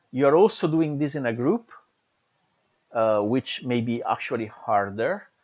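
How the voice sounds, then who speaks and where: With an Italian accent, a man talks at a fairly slow pace with lively intonation and long, frequent pauses. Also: medium pitch for a man. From Italy. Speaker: university lecturer. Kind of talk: lecture. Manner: hesitant, many fillers.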